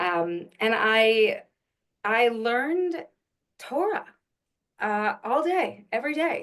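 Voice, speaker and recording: A woman speaks in a New York accent with ordinary pitch variation. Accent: New York American. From Long Island, New York. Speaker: actress and Yiddish singer. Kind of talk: casual interview.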